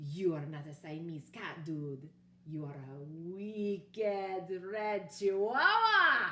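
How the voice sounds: In a put-on character voice with a Spanish accent, a female-sounding voice at medium pitch speaks at a very slow pace.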